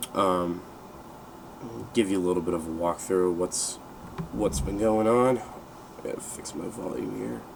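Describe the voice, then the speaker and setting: A man with a very deep, low voice speaks at a fairly slow pace in a relaxed tone, leaving long, frequent pauses, with noticeable background noise and audible room echo. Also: lively intonation. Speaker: gaming video creator. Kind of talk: gameplay walkthrough commentary. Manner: hesitant, many fillers.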